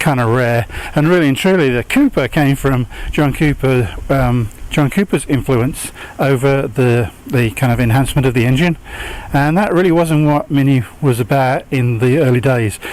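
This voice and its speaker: Amid noticeable background noise, a man speaks at a moderate pace with ordinary pitch variation and very even loudness. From England, West Midlands near Birmingham. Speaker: car enthusiast. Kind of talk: casual home video talk. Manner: hesitant, many fillers.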